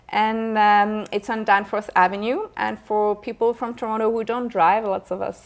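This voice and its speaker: This woman talks at a moderate pace. Her pitch is medium. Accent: French. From France, Paris. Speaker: actress. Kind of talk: interview. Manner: halting, many fillers.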